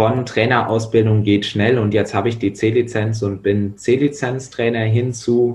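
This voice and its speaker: A man with a medium-pitched, somewhat breathy voice speaks fairly slowly in a monotone, flat intonation. His loudness stays very even, and he hardly pauses at all. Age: 20s. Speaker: volunteer rugby coach. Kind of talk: casual chat.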